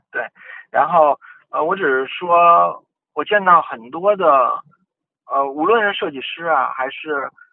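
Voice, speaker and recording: This man talks at a fairly slow pace. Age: middle-aged. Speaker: design director at a tech company. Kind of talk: podcast interview. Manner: hesitant, many filler sounds.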